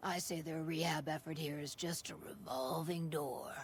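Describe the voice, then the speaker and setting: Over clear background noise, someone does a put-on character voice that is raspy and middle-pitched, at a moderate pace. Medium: video game. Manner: dry, cynical, drawling.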